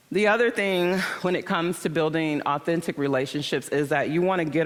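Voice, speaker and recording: With an American accent, a woman speaks at a moderate pace in a very deep, low pitch, her tone animated and her intonation lively. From Michigan, US Midwest. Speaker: conference speaker. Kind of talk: conference talk.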